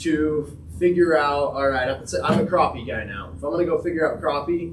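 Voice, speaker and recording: Someone with an American accent speaks at a moderate pace, with audible room echo and noticeable background noise. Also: man. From Utah, Uintah Basin. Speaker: angler giving a fishing talk. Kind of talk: presentation to a club audience. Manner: quiet.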